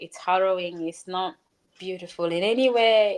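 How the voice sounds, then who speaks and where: A woman with a Ugandan accent, fairly slow in pace, with ordinary pitch variation. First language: Luganda. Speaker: author and speaker. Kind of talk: interview.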